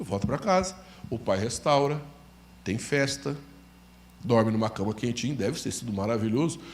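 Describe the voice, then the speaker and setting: A man speaks at a moderate pace with lively intonation, leaving long, frequent pauses, with audible room echo. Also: medium pitch for a man. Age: 60s. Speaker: pastor. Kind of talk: sermon.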